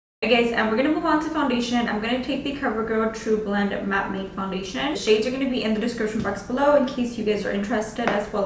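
A woman speaks at a very fast pace with ordinary pitch variation. Audible room echo and light background noise are present. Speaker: beauty vlogger. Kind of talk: tutorial. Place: home room.

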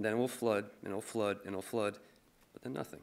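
With an American accent, a man is talking. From Michigan. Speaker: musician and poet; poet. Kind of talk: reading aloud. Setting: stage with audience. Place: stage. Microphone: podium.

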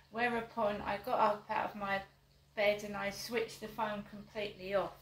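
A woman's flat, monotone voice at a moderate pace, with audible room echo and light background noise. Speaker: vlogger. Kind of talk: casual vlog chat. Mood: aggrieved, complaining. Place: home room. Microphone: camera far.

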